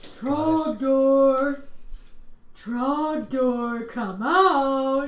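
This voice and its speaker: A female-sounding, high-pitched, put-on character voice with audible echo. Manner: taunting, shouting.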